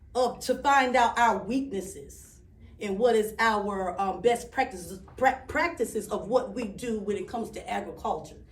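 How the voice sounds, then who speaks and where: Moving at a moderate pace, a somewhat breathy voice shifts pitch in an ordinary way. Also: woman, fairly high pitch for a woman. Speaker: speaker with a doctorate, author. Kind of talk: public speech. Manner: halting, self-interrupting; conversational with audience responses.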